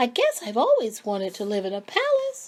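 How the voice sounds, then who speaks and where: In a put-on character voice, a female-sounding speaker goes at a fairly quick pace with a high pitch. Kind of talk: bedtime story. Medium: read story. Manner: innocent, wondering.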